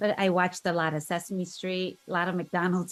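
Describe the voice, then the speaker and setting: A woman speaks with a Korean accent. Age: 50s. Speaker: interview guest sharing life story. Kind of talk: podcast interview.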